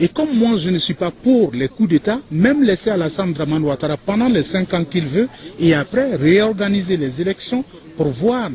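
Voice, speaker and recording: Very wide pitch swings mark the speech, heard over noticeable background noise. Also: man, high pitch for a man, moderate pace. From Côte d'Ivoire. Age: 40s. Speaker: interviewee. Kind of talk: interview.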